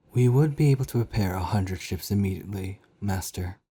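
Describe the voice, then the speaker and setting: A man puts on a character voice with a fairly low pitch, talking at a fairly quick pace over a silent background in a very clean recording. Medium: read story. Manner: dutiful, addresses him as master.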